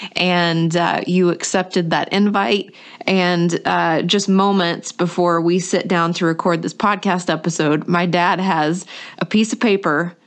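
Using an ordinary speaking voice, a woman with an American accent speaks at a fairly slow pace and a fairly low pitch. Her loudness stays very even, and her intonation fairly even. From North Carolina, US. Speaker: podcast host. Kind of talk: podcast intro and interview.

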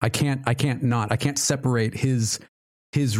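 Here is a man with an ordinary speaking voice. His pace is moderate and his pitch variation ordinary. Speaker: podcast host.

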